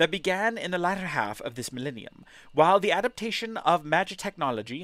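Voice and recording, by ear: The reading is aloud in a natural voice, and the intonation is lively.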